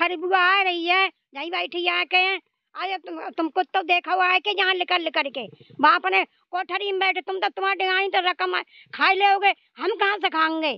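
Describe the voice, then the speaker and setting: Against a quiet background, a woman speaks at a fairly slow pace. Her pitch is extremely high. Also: fairly even intonation, dry sound with no echo. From Haryana, India (Rohtak); Haryana, India. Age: old. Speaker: elderly pensioner. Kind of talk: interview, angry complaint. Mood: angry, scolding complaint. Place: open country. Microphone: handheld.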